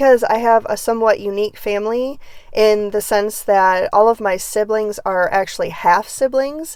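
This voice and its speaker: Recorded very cleanly with a silent background, a woman speaks at a moderate pace. Her pitch is fairly high, with ordinary variation. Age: 40s. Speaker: true crime and psychic content creator. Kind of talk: casual monologue.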